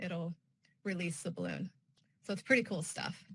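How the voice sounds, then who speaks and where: A woman talks in a bright, sharp tone. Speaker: weather service staff presenter. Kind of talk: conference presentation. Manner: fast.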